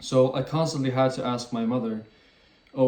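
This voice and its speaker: The man speaks at a moderate pace in a medium pitch. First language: French and Swedish. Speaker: YouTuber. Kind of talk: casual talk to camera.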